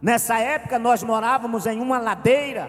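This man's pitch is extremely high. He talks at a moderate pace. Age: 40s. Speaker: pastor. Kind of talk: sermon. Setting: church.

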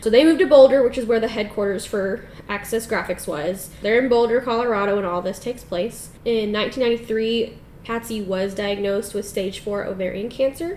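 Pitch varies in an ordinary way as an ordinary speaking voice moves along at a moderate pace. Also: woman, fairly high pitch for a woman. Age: 20s. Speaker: podcast co-host. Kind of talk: casual chat.

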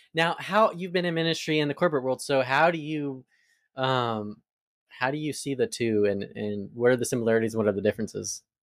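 A man with an American accent talks fairly quickly in a normal speaking voice at a medium pitch. The recording is very clean, with a silent background. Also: lively intonation. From Arizona. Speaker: podcast host. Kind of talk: interview.

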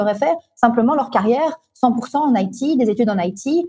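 A woman speaks at a high pitch in a dark, mellow tone, with very wide pitch swings. The sound is dry and close with no echo. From Belgium, Brussels. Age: 30s. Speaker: entrepreneur. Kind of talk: interview.

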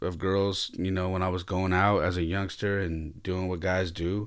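Delivered in a plain, everyday voice at a moderate pace, the intonation stays fairly even. The recording is very clean, with a silent background. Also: man. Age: 50s. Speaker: solo podcast host. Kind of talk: personal monologue.

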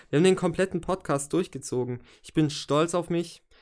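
The recording is very clean, with a silent background. A man speaks at a moderate pace with a high pitch and ordinary pitch variation. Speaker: podcast host and rapper analysing own album. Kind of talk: solo podcast monologue. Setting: home recording with microphone. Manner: casual with many fillers.

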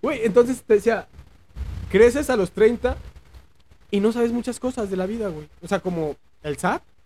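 A man's high voice with a dark, mellow tone, broken by long, frequent pauses. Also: ordinary pitch variation, moderate pace. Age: 30s. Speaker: podcast host. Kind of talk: casual chat.

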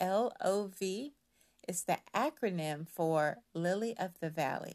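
A woman speaks at a medium pitch with lively intonation, in an unremarkable speaking voice. The background is quiet. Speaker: voice-over narrator. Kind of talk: scripted narration.

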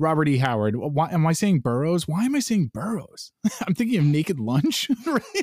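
The voice moves through very wide pitch swings at a moderate pace, with very even loudness and a dry, close sound with no echo. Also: man, fairly high pitch for a man. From New York. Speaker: podcast host. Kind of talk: casual chat.

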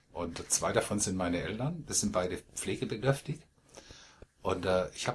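A man talking at a moderate pace with lively intonation. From Baden, Malsch south of Karlsruhe. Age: 50s. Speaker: poetry slam performer and organizer. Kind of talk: interview, casual conversation. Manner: hesitant, frequent fillers.

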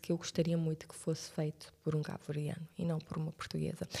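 This woman's voice is somewhat breathy. Its tone is dark and mellow. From Cape Verde, Santiago (Cidade Velha). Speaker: TV presenter. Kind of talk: casual chat.

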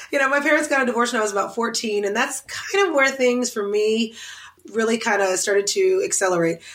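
With an American accent, a woman speaks at a very fast pace with fairly high pitch and lively intonation. Noticeable background noise is present. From US South, Oklahoma City. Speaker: interior designer and TV personality. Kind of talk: casual interview.

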